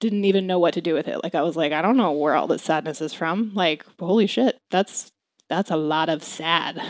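In a very clean recording with a silent background, a woman with an American accent uses a normal speaking voice, a fairly low pitch and ordinary pitch variation. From Maryland, US. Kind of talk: personal testimony.

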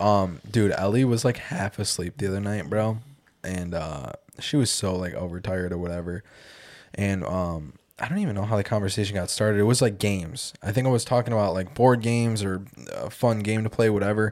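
A man speaks fairly quickly with an American accent and a fairly low pitch, in a normal speaking voice. The recording is very clean, with a silent background. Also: ordinary pitch variation. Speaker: podcast host. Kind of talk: casual chat.

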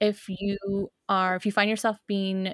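A woman talks at a fairly slow pace in a medium pitch. The recording is very clean with a silent background and a dry, close sound with no echo. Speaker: podcast co-host on witchcraft. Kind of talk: casual chat. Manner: loud.

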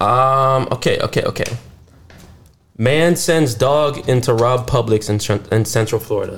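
A somewhat breathy man talks at a medium pitch and a fairly slow pace. His loudness stays very even, with ordinary pitch variation. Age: 20s. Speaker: podcast host. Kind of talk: casual chat. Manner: animated.

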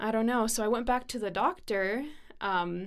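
A woman with a plain, everyday voice talks at a moderate pace, her fairly high pitch showing ordinary variation. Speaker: student nurse. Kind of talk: casual interview chat, personal story.

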